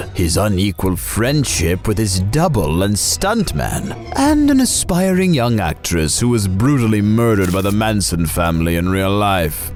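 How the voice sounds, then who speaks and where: Against clear background music, a man does a cartoonish character voice, fairly low in pitch, at a moderate pace. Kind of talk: comedy puppet show movie review. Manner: condescending, scornful.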